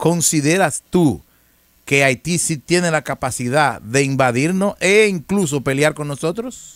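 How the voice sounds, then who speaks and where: Against a quiet background, a man with a fairly high pitch talks at a fairly slow pace with lively intonation, in a dry sound with no echo. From Dominican Republic. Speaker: news commentary show host. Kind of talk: casual interview chat; reading news aloud. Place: studio. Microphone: studio mic.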